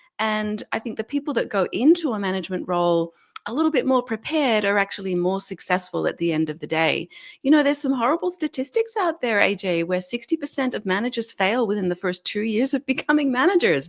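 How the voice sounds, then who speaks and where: With an Australian accent, a woman talks very fast at a fairly high pitch with very wide pitch swings, on a very clean recording with a silent background. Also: dry, close sound with no echo. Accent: Australian, noticeable. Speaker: leadership expert and author. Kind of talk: interview.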